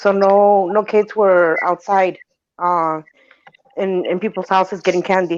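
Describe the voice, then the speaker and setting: A woman speaks at a fairly slow pace. Her intonation is flat and monotone. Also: medium pitch for a woman. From Honduras. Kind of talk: casual chat.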